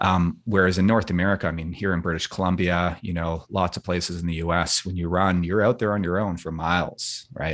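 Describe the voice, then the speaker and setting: With a western Canadian accent, a man speaks at a fairly quick pace in a very deep, low pitch. His intonation is monotone and flat over a quiet background. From Vancouver, western Canada. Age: 40s. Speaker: ultramarathon runner and filmmaker. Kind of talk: interview conversation. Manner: hesitant with fillers.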